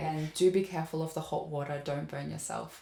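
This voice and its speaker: The speech is somewhat breathy and goes at a moderate pace. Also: woman. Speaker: opera singer and voice teacher. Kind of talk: educational talk to camera.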